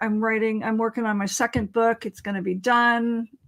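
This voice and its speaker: With a West Coast US accent, a woman talks at a moderate pace in a fairly high pitch. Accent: General American (West Coast). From California. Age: 60s. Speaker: author and interviewee. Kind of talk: casual interview chat.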